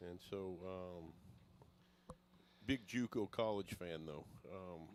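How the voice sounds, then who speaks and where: Speaking at a very slow pace, a man with an American accent has a very deep, low pitch and ordinary pitch variation. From New York. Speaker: guest commentator, youth baseball coach. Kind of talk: casual chat.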